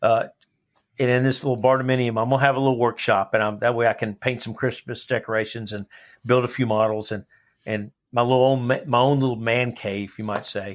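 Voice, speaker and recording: This very clean recording, with a silent background, features a man at a medium pitch. He talks at a fairly quick pace in a monotone, flat intonation. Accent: Texan. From Texas, Dallas area. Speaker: high school history teacher and coach. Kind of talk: casual interview.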